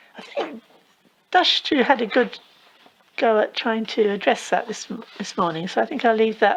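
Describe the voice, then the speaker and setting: A woman speaks with lively intonation at a fairly high pitch. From England. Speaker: Buddhist teacher. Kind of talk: dharma talk Q&A.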